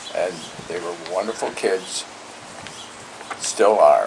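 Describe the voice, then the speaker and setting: Behind this man there is noticeable background noise. His pace is very slow. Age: 80s+. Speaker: retired doctor, war veteran. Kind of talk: family interview. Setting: at home, filmed on video.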